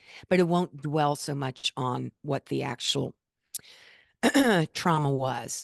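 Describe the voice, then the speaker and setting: A woman speaks with a very deep, low pitch and fairly even intonation at a fairly slow pace. The sound is dry and close with no echo, over a quiet background. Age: 60s. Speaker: author and former journalist. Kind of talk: interview answer.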